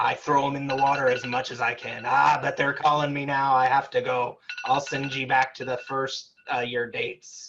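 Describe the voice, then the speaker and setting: A raspy put-on character voice from a man at medium pitch and moderate pace. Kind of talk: comic pirate talk. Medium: stage play. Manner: hearty, boastful.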